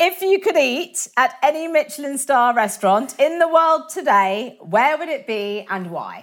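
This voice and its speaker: Speaking at a fairly slow pace with hardly any pauses, a woman uses a high pitch and very wide pitch swings. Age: 40s. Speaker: podcast host. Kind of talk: interview. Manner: animated.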